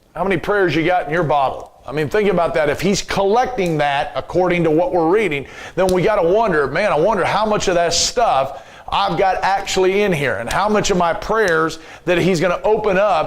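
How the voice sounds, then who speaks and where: A man's high voice with ordinary pitch variation and very even loudness, with audible room echo and noticeable background noise. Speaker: Bible teacher. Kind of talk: Bible class lecture. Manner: halting.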